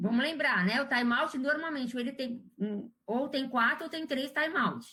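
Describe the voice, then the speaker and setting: The voice is raised and projected, with hardly any pauses. The pace is fairly slow. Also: woman, high pitch for a woman, ordinary pitch variation. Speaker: surgical instrumentation instructor. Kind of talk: live quiz class.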